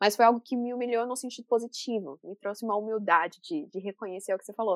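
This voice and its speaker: This woman's pitch is fairly high. She talks at a very fast pace. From Brazil, interior of São Paulo state. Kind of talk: casual interview chat.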